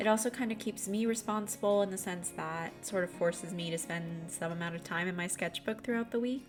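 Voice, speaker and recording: A woman speaks in a calm, relaxed tone at a medium pitch with ordinary pitch variation. Her pace is fairly quick with hardly any pauses, and music plays in the background. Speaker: artist. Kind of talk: voiceover narration.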